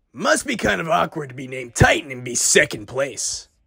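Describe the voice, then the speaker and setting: An energetic, raspy put-on character voice from a man at a medium pitch, fairly quick in pace, with big swings in loudness. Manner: cocky, teasing, energetic.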